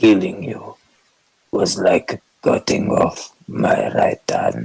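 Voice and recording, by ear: A man uses a put-on character voice that is guttural and very slow. The sound is dry and close, with no echo.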